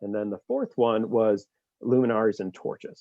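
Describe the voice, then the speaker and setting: This is a man's voice with a fairly low pitch. His intonation stays fairly even. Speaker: nonprofit fundraising staff organizer. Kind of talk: meeting presentation. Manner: fast.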